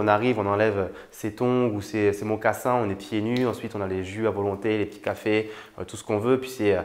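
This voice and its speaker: He speaks at a fairly quick pace. The man's pitch is medium. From France. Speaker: YouTuber, online entrepreneur. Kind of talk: casual vlog talk to camera. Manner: casual, with many fillers and hesitations.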